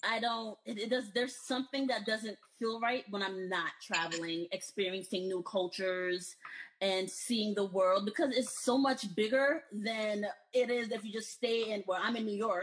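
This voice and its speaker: A woman with an American accent speaks. Her pace is moderate and her pitch varies in an ordinary way. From United States, Haitian parents. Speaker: healthcare recruiter. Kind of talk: casual chat.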